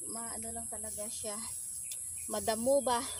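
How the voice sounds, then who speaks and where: A woman's speech unfolds at a fairly slow pace. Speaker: vlogger. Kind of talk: casual vlog narration. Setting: outdoors. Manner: soft-spoken. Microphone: no microphone, camera mic.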